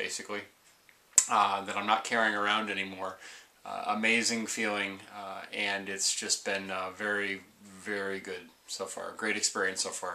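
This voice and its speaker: Fairly low in pitch, a man speaks at a moderate pace with monotone, flat intonation. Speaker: weight-loss surgery vlogger. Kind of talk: casual vlog chat. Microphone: webcam.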